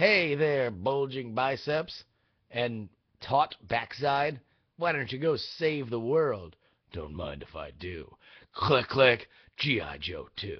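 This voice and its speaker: Putting on a raspy character voice, a man at medium pitch speaks very slowly with lively intonation. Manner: dramatic, cheesy, tongue in cheek.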